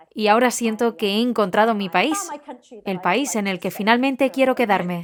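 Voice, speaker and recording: There is noticeable background noise as a woman with an English accent speaks at a fairly high pitch. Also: ordinary pitch variation, moderate pace. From England. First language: English (speaking Spanish). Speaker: nonprofit founder. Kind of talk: casual chat.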